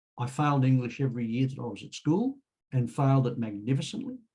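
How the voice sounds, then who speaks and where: His tone is dark and mellow. The man's voice has a somewhat breathy quality. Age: 70s. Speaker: author and road safety speaker. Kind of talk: casual group chat, personal update.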